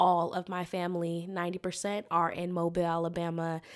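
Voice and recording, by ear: A woman with a slight Southern US accent talks at a fairly quick pace in a fairly low, monotone, flat voice, on a very clean recording with a silent background. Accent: American, slight Southern twang.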